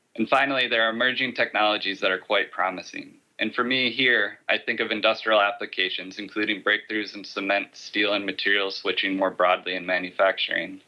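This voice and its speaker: A man with a plain, everyday voice and an American accent, fairly low in pitch, fairly even in intonation, at a fairly quick pace with hardly any pauses. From USA. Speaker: climate foundation director, conference speaker. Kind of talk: conference talk. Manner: formal.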